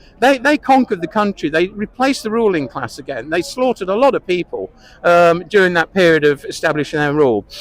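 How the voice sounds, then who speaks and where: Speaking in an English accent, a man uses a high pitch with very wide pitch swings. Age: 70s. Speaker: interviewee. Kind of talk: street interview. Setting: outdoors.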